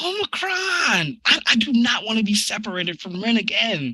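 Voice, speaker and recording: Using a put-on character voice, a man talks at a moderate pace in a high pitch with very wide pitch swings. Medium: audio drama. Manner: stammering, formal robotic phrasing.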